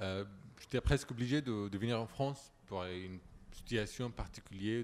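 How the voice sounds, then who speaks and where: Speaking with an Arabic accent, a man keeps a moderate pace and ordinary pitch variation. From Syria. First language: Arabic (speaking French). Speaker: refugee, former journalist. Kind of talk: panel discussion.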